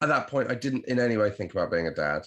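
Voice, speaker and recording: A man is talking. His voice carries vocal fry. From Devon, southwest England. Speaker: comedian and podcast host. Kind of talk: casual chat.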